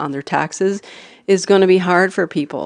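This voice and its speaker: A woman mumbles at a fairly low pitch. The background is quiet. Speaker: city councillor. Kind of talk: council meeting debate. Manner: mumbling.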